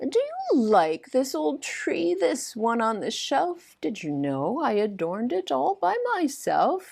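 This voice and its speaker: A put-on character voice moves at a fairly slow pace with hardly any pauses and very wide pitch swings. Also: female-sounding voice, high pitch for a woman. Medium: read story. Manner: gentle, warm.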